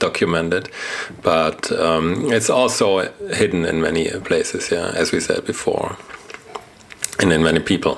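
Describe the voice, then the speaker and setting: Speaking at a moderate pace with a German accent, a man keeps his loudness very even against noticeable background noise. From Germany. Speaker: journalist and podcast co-host. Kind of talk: casual conversation.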